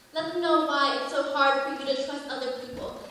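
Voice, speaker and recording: A woman speaks in a raised, projected voice with fairly even intonation. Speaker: pageant contestant. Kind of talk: slam poetry performance.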